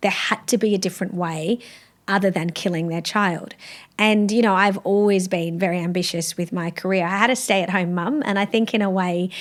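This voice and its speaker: A woman with an Australian accent at a fairly quick pace. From South Australia. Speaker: law professor. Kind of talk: interview. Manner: animated.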